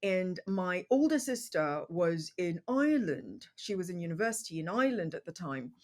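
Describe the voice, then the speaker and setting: In a very clean recording with a silent background, a woman speaks with a British accent. Her medium-pitched voice moves at a moderate pace with lively intonation. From England, London area. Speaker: podcast host. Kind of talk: casual interview conversation. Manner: hesitant, many fillers.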